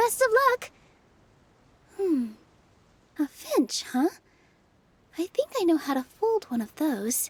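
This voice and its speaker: In a put-on character voice, a female-sounding speaker pitched extremely high swings very widely in pitch, moving at a fairly slow pace with long, frequent pauses. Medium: video game. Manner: soft, kind.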